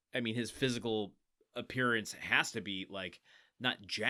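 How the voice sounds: A natural reading voice delivers the words. Little sound comes from the quiet background.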